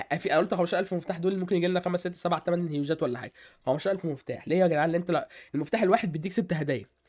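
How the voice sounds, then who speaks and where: Animated in tone, a man with a high voice races along at a very fast pace with ordinary pitch variation. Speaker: gaming YouTuber. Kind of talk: gaming tutorial. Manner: casual, animated.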